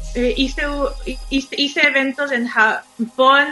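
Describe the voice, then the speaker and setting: A woman speaks with a Mexican accent. Noticeable background noise runs underneath. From Mexico (Xalapa, Veracruz). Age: 30s. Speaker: illustrator. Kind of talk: casual chat.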